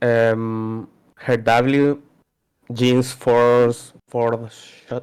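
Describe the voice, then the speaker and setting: This man talks with a non-native accent. His pitch sits in the medium range, and his intonation is flat and monotone. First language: not English. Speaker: player being coached. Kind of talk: coaching session. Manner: halting.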